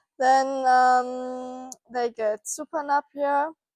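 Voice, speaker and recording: In a German accent, a woman speaks at a high pitch on a very clean recording with a silent background and a dry, close sound with no echo. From Germany. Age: 20s. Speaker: farm intern, agriculture student. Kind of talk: casual farm tour presentation. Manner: halting, many fillers.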